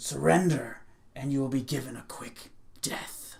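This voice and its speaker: A put-on character voice at a low-to-middle pitch and moderate pace. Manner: menacing.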